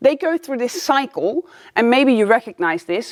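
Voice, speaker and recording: Lively intonation carries this speaker's non-native accent in a very clean recording with a silent background. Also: woman, dry, close sound with no echo. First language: not English. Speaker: life coach. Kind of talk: video lesson. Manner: casual, upbeat.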